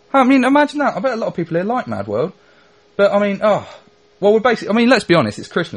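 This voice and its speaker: The man talks very fast. There is a somewhat breathy quality to his voice. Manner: chatty, sarcastic, mock-gloomy, comic.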